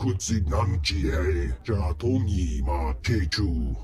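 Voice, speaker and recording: A man's put-on character voice, very deep and low in pitch, at a very slow pace. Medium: video game.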